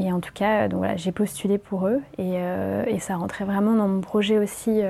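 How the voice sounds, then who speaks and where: At a fairly slow pace, a woman speaks in a dark, mellow tone. Her intonation is monotone and flat. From Paris, France. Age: 20s. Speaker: volunteer. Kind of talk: interview.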